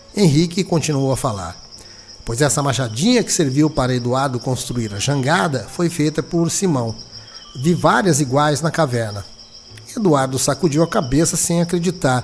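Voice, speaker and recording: Over music in the background, a man talks at a moderate pace with a fairly high pitch and lively intonation. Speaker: radio announcer and journalist. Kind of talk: dramatized audiobook reading.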